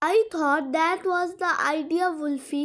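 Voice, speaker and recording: A woman puts on a squeaky character voice at an extremely high pitch. She speaks at a fairly slow pace with fairly even intonation. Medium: read story.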